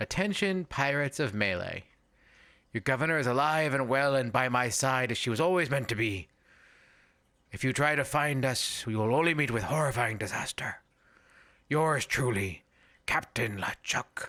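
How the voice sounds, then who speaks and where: In a put-on character voice, a man speaks at medium pitch and a moderate pace. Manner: reading a note dramatically; menacing.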